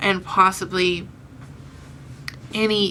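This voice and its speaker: A woman at a medium pitch with fairly even intonation, over noticeable background noise. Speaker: beauty vlogger. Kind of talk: casual talk to camera.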